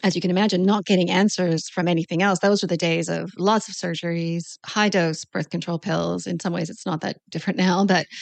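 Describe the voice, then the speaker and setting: A woman talks at a fairly quick pace with hardly any pauses. Her fairly low voice carries vocal fry and a monotone, flat intonation. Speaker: naturopathic doctor. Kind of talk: interview. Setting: podcast.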